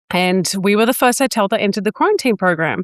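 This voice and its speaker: A woman speaks very fast in an Australian accent, at a medium pitch with ordinary pitch variation. The sound is dry and close with no echo, in a very clean recording with a silent background. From New South Wales, Australia. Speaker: business coach and entrepreneur. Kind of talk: interview, telling own story.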